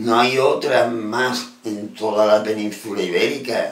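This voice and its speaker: A man with an Andalusian accent, talking at a very slow pace over noticeable background noise. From Andalusia, Spain. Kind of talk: casual talk to camera. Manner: passionate, emphatic.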